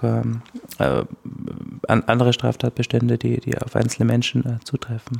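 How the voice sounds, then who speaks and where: Over noticeable background noise, a man speaks at a fairly slow pace with a dry, close sound and no echo. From Austria, Styria. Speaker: legal scholar, media law researcher. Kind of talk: interview, expert explanation.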